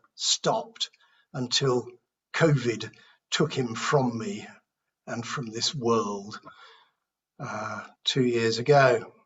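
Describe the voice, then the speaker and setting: A man's medium-pitched voice with a British accent, very slow pace and ordinary pitch variation. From United Kingdom. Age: 60s. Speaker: recovering alcoholic sharing at a support meeting. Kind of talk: testimony. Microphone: speaking without earphones, may be hard to hear.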